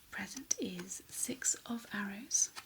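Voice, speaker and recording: Here we have a woman's voice. It comes out in a whisper. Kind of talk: tarot card reading. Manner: soft-spoken.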